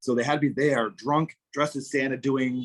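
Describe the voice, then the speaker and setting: A man with a South Shore Massachusetts accent and a fairly high pitch. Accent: South Shore Massachusetts accent, non-rhotic. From US Northeast, southern Massachusetts South Shore. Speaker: English teacher, former political candidate. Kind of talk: casual interview chat.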